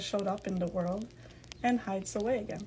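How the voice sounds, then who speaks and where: Against noticeable background noise, a woman with a non-native accent speaks at a moderate pace and medium pitch. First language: not English. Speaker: podcast host. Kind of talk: podcast monologue, partly read from notes. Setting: live in a virtual game platform.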